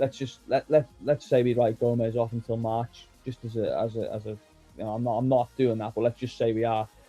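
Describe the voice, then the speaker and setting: With a Scouse accent, a man speaks at a fairly quick pace with hardly any pauses, medium pitch and monotone, flat intonation, the sound dry and close with no echo and music in the background. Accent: Scouse (Liverpool English). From Liverpool, England. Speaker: football journalist. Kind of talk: podcast interview answer.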